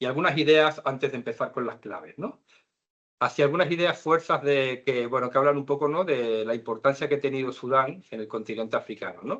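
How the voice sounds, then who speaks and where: A man in a Canary Islands accent speaks at a fairly quick pace, his fairly high pitch showing ordinary variation. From Canary Islands, Spain. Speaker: lecturer. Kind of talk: lecture.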